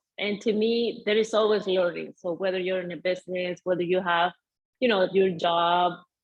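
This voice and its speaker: The speaker talks at a moderate pace with fairly even intonation and a Venezuelan accent. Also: woman. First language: Spanish. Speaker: mindset coach. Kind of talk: interview.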